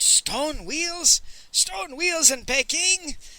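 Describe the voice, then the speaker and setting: Shouting in a raspy, put-on character voice, a man pitches himself extremely high. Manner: exclaiming, shouting.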